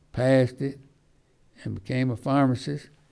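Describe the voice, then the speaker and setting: At a fairly slow pace, a man speaks in a dark, mellow tone with a medium pitch. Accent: Alabama. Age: 80s+. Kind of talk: local history reminiscence to an audience. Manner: rambling, halting.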